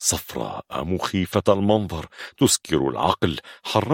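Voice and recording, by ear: The reading aloud here is done in a natural voice.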